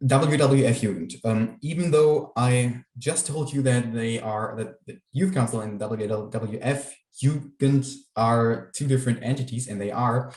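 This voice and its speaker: Speaking with a German accent, a man uses a medium pitch and ordinary pitch variation at a fairly slow pace, with hardly any pauses and a somewhat breathy sound. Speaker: youth council member. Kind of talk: presentation. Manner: halting, many fillers.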